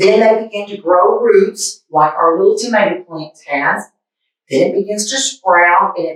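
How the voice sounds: The setting is quiet. A natural reading voice is heard.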